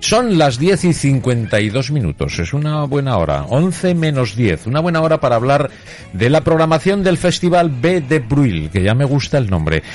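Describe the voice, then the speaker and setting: With very wide pitch swings and very even loudness, a man talks at a fairly slow pace over noticeable background noise. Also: fairly high pitch for a man. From Spain, Zaragoza (Aragon). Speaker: radio host. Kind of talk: radio interview.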